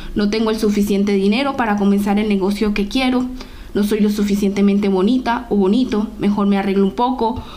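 Noticeable background noise and audible room echo surround a woman speaking at a fairly quick pace. Her medium-pitched voice has monotone, flat intonation and very even loudness. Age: 20s. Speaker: podcast host. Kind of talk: motivational monologue.

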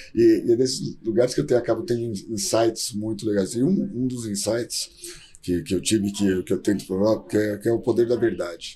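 Somewhat breathy and dark, mellow in tone, a man speaks at a medium pitch and a moderate pace with lively intonation. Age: 40s. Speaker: startup founder and CEO. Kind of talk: interview.

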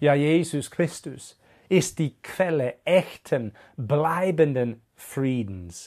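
Speaking at a very slow pace, a man with a fairly high pitch and lively intonation comes through on a very clean recording with a silent background. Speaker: preacher. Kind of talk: sermon. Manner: earnest, direct appeal to listener; measured, teaching pace.

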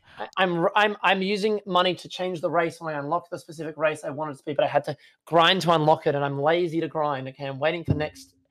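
A man's fairly high voice with an Australian accent at a very fast pace. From Perth, Western Australia. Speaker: Twitch streamer. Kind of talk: casual chat. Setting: video call. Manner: animated.

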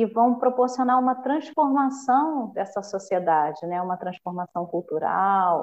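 This is a woman's voice. Its pitch variation is ordinary. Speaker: municipal culture official. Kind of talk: podcast interview. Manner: halting with many fillers.

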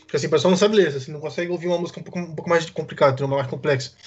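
A man talks with a high pitch and ordinary pitch variation. Noticeable background noise runs underneath. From Brasília, Brazil. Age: 20s. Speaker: Twitch streamer. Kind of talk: casual chat.

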